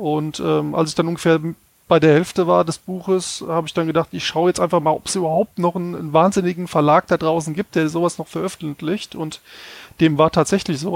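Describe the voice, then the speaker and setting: A man with a high pitch speaks at a fairly quick pace in a monotone, flat intonation. The very clean recording has a silent background and a dry, close sound with no echo. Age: 40s. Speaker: game tester and gamebook author. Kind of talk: casual chat.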